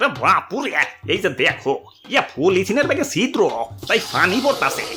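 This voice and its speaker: Against clear music in the background, a man performs a cartoonish character voice at an extremely high pitch with very wide pitch swings and very even loudness. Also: moderate pace. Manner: rambling, verbal tic ya and ore bapure.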